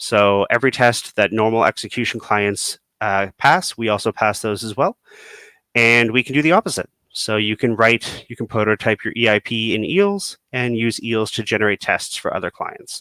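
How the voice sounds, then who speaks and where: In a very clean recording with a silent background and a dry, close sound with no echo, a man speaks at medium pitch with a bright, sharp tone and ordinary pitch variation. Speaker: software developer. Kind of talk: technical presentation. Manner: fast; filler-heavy, many ums.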